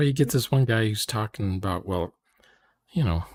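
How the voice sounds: At a moderate pace, a man speaks with a fairly low pitch and lively intonation. His tone is slightly mellow.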